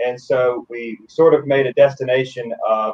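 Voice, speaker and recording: A man is talking. His pace is fairly slow. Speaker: city official. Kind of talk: interview.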